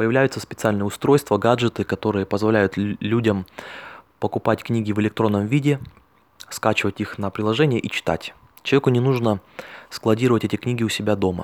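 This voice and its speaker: A man speaks at a fairly quick pace with a fairly low pitch and fairly even intonation, leaving long, frequent pauses, in a dry, close sound with no echo. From Russia, Altai Krai. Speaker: network marketing distributor. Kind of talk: monologue recording.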